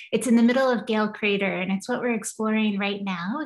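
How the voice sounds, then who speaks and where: In an American accent, a somewhat breathy voice with ordinary pitch variation is heard against a quiet background. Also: woman. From Kentucky, US. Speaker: planetary scientist, professor; professor. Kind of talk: lecture. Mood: enthusiastic, friendly. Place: home room. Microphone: video call.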